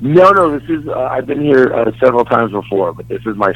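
With an American accent, a man talks at a fairly quick pace. There is noticeable background noise. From Dallas, Texas. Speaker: stand-up comedian.

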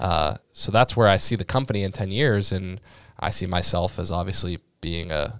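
In a very clean recording with a silent background, a man with an American accent speaks at a moderate pace in a very deep, low pitch with ordinary pitch variation. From Massachusetts (Sharon, near Boston). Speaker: startup founder in investment platform. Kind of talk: casual interview. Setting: podcast studio.

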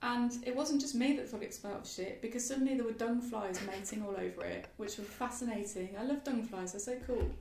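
A woman with a fairly high pitch speaks with fairly even intonation and hardly any pauses. Noticeable background noise and audible room echo are present. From West Midlands, England (Solihull, near Birmingham). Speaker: wildlife gardener and writer. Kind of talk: casual interview conversation. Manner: hesitant, many fillers and restarts.

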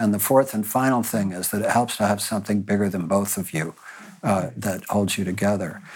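A normal speaking voice moves at a fairly quick pace with fairly even intonation. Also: man, fairly low pitch for a man. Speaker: panelist. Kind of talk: panel discussion.

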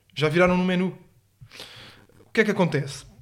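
A man is speaking. He goes at a very fast pace. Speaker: podcast co-host. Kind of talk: casual chat.

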